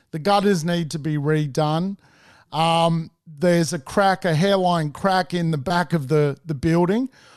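A man's high voice in an Australian accent, fairly slow and fairly even in intonation, against a quiet background. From Sydney, Australia. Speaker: property investor and mentor. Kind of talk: interview storytelling.

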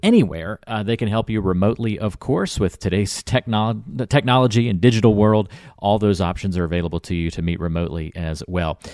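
A man with a fairly low voice speaks at a fairly quick pace in an upbeat tone, with ordinary pitch variation, a dry, close sound with no echo, and a very clean recording over a silent background. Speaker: podcast co-host. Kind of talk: casual chat. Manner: upbeat, jokey.

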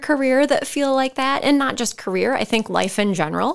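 In a very clean recording with a silent background, a woman with an Upper Midwest accent speaks at a high pitch with ordinary pitch variation. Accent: Upper Midwest American. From Northeast Iowa. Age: 40s. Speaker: boutique owner. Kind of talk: casual chat.

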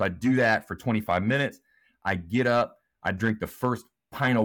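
Recorded very cleanly against a silent background, a man speaks in a plain, everyday voice at a fairly quick pace with ordinary pitch variation. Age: 40s. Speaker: former school principal and speaker. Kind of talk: casual interview.

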